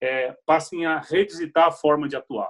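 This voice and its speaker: A man with a plain, everyday voice speaks at a fairly high pitch and a moderate pace, with fairly even intonation. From Brazil, Piracicaba (interior of São Paulo). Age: 40s. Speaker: HR executive. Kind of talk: interview.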